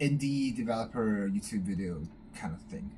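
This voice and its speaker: Speaking at a moderate pace with a non-native accent, a man has a fairly low pitch, a dark, mellow tone and ordinary pitch variation. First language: not English. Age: 20s. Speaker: YouTuber. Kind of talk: casual vlog talk. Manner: halting, many fillers and restarts.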